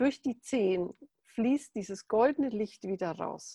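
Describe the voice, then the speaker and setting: Very slowly, a woman speaks in a fairly high, somewhat breathy voice with a dark, mellow tone and ordinary pitch variation, recorded dry and close with no echo. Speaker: meditation teacher. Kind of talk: guided meditation. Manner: calm, slow, soothing; gentle, instructive.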